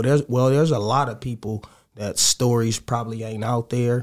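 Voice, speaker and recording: A man speaks at a medium pitch in a monotone, flat intonation. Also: very clean recording, silent background. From Los Angeles, Crenshaw District. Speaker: DJ and rapper. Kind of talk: casual interview.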